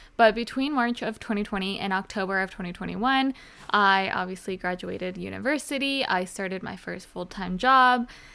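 Talking at a fairly quick pace, a woman with an American accent has a bright, sharp tone. Her pitch is medium, with ordinary pitch variation. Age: 20s. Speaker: podcast host. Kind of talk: casual solo vlog-style monologue.

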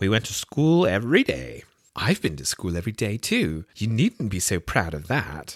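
The background stays quiet while a natural reading voice carries the words.

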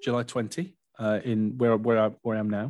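A man with an English accent, medium in pitch, at a moderate pace over a quiet background. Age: 30s. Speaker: mortgage adviser. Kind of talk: casual chat.

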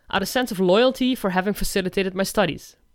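On a very clean recording with a silent background, a woman of medium pitch speaks with lively intonation. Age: 40s. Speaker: independent consultant. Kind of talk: scripted narration.

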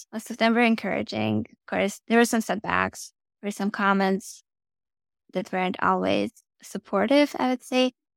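In a Russian accent, a woman talks at a moderate pace, recorded with a dry, close sound and no echo. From Russia, then Germany. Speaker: flight test engineer. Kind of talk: casual interview. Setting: video call.

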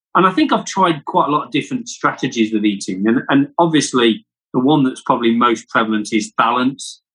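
A man with a British accent, medium pitch, and lively intonation, talking at a fairly quick pace with hardly any pauses and very even loudness. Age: 50s. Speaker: podcast co-host, entrepreneur. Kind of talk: casual chat.

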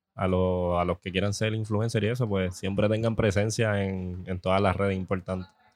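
A man talks at a moderate pace with a fairly low voice. His intonation is monotone and flat. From Puerto Rico. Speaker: social media cook. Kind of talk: casual chat. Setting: food festival.

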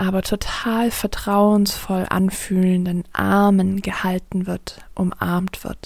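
Her voice is gentle in tone, at a medium pitch for a woman. She speaks at a very slow pace with fairly even intonation. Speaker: coach and yoga teacher. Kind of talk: guided meditation. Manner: slow, soft, calming; gentle, flowing, with long pauses.

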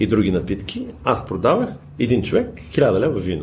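With audible room echo, a man of medium pitch speaks at a moderate pace using very wide pitch swings. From Bulgaria. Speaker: wine merchant and former sommelier. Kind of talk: casual chat.

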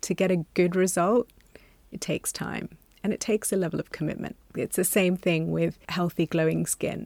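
Using an ordinary speaking voice, a woman talks at a moderate pace and fairly low pitch, in a dry, close sound with no echo. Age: 40s. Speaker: doctor. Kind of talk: casual chat.

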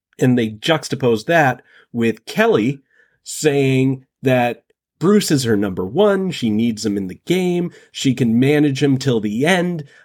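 The speech moves at a fairly slow pace with lively intonation and a slight New England accent. The recording is very clean, with a silent background. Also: man, medium pitch for a man. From northern Massachusetts, US. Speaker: podcast guest. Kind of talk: casual chat.

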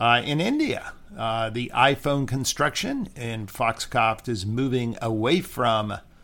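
A man speaks at a medium pitch with ordinary pitch variation on a very clean recording with a silent background. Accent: American. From California. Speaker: podcast host and demographer. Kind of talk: analytical discussion podcast. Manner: hesitant with many fillers.

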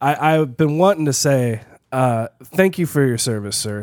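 In an unremarkable speaking voice, a man talks at a medium pitch and a fairly slow pace with ordinary pitch variation. The recording is very clean and the background silent. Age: 40s. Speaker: podcast host. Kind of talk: casual chat.

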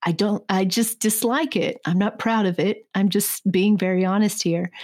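A woman with an unremarkable speaking voice, medium in pitch, at a moderate pace with ordinary pitch variation. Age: 30s. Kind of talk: Bible teaching; casual personal story.

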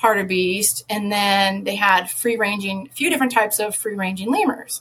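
This woman has a normal speaking voice at medium pitch. Her pace is moderate. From US Midwest. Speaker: conservation advocate and former biologist. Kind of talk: casual interview.

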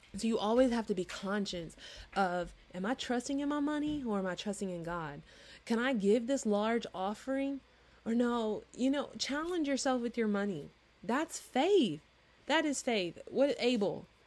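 A woman's animated, lively-intoned voice at a moderate pace, on a very clean recording with a silent background. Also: fairly high pitch for a woman. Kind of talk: sermon-style solo podcast.

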